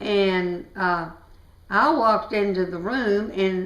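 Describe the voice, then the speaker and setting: With an American accent, a woman speaks at a very slow pace and medium pitch with ordinary pitch variation, and audible room echo surrounds her voice. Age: 80s+. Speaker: family elder interviewee. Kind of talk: oral history interview. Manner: halting.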